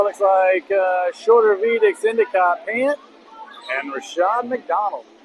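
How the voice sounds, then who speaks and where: Noticeable background noise sits behind a man speaking at a fairly slow pace. His voice is high, with lively intonation. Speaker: high school basketball play-by-play announcer. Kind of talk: live sports commentary. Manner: casual, conversational, some filler words.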